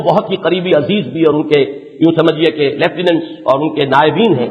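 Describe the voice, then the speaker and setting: Against noticeable background noise, a man speaks with ordinary pitch variation. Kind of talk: religious lecture. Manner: fervent, argumentative, lecturing.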